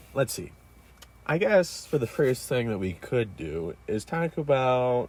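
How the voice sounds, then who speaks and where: His medium-pitched voice swings very widely up and down as the man speaks at a fairly slow pace. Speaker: podcast co-host. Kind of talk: casual chat. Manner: put-on radio voice.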